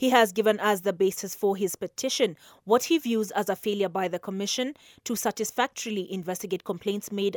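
A woman in a normal speaking voice, medium in pitch, fairly even in intonation and fairly quick, with a dry, close sound with no echo and a very clean recording against a silent background. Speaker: news reader. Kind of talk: news reading. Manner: formal; brisk, even newsreader delivery.

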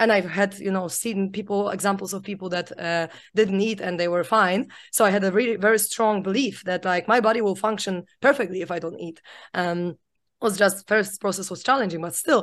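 Against a quiet background, a woman talks at a fairly quick pace. Her intonation is fairly even. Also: medium pitch for a woman. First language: not English. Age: 30s. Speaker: podcast host. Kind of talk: interview.

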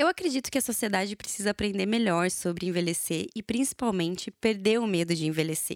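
A woman talks at a fairly quick pace with hardly any pauses, a medium pitch and ordinary pitch variation, in an ordinary speaking voice. The sound is dry and close with no echo. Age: 30s. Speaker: journalist, podcast host. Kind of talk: solo monologue podcast.

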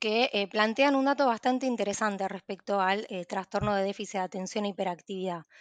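A woman with an ordinary speaking voice talks at a moderate pace with ordinary pitch variation. The sound is dry and close with no echo, over a quiet background. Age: 20s. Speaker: psychologist. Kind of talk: expert interview explanation.

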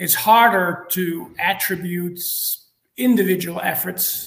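Speaking with a Dutch accent, a man uses a high pitch and fairly even intonation. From Netherlands. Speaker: marketing executive. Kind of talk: interview.

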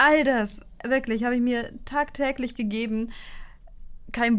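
This is a woman speaking at a high pitch. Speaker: podcast co-host. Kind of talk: casual chat. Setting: recording in the same room, single shared mic.

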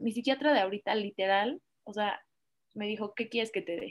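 On a very clean recording with a silent background, a woman talks fairly quickly in a fairly high pitch. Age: 20s. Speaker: lawyer sharing patient testimony. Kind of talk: testimony. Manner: animated.

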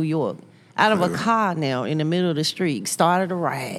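A woman with an American accent speaks at a moderate pace in a plain, everyday voice. Her pitch sits fairly low for a woman, and her intonation is lively. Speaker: podcast co-host. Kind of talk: casual chat. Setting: studio.

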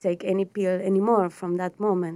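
A woman speaks with a Spanish accent. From Patagonia, Argentina. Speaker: astrologer. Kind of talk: interview. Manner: halting.

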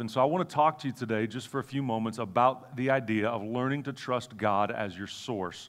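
A man talks at a moderate pace in a medium pitch with ordinary pitch variation. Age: 40s. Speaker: guest preacher. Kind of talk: sermon. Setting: church service with audience. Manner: animated.

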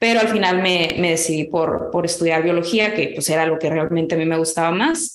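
Noticeable background noise and audible room echo accompany a woman speaking at a fairly low pitch. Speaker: agronomy entrepreneur. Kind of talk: interview.

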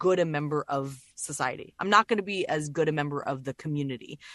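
In an unremarkable speaking voice, a woman talks at a fairly quick pace with ordinary pitch variation, the sound dry and close with no echo. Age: 40s. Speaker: voice actor. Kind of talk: casual chat.

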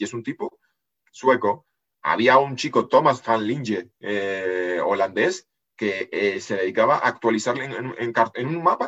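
This man has an ordinary speaking voice, medium in pitch, with lively intonation. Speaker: geopolitics analyst and writer. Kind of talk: casual interview.

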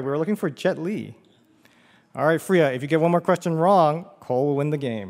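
A man with a normal speaking voice, fairly high pitch, ordinary pitch variation and a fairly quick pace, in a very clean recording with a silent background. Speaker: puzzle guru, quizmaster. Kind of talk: quiz game judging. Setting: stage with audience at a theater.

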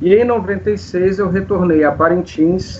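A man speaks in a high voice with lively intonation over noticeable background noise. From Brazil, Manaus (Amazonas). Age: 50s. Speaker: composer and science teacher. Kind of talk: interview.

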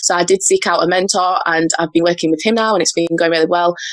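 A woman speaks in a normal speaking voice at medium pitch. Her intonation is fairly even. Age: 20s. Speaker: personal brand coach. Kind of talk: interview conversation.

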